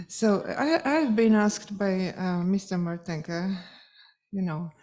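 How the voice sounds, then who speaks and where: A woman with a Polish accent speaks at a fairly slow pace with a medium pitch, a dark, mellow tone and lively intonation. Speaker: music teacher and event organizer. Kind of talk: closing speech. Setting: conference hall with audience. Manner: halting, with fillers.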